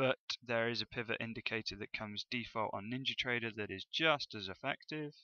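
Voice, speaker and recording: A man with a West Country accent speaks at a fairly quick pace. His medium pitch shows ordinary variation. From West Country, England. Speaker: forex trading educator. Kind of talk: tutorial. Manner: casual, hesitant with fillers.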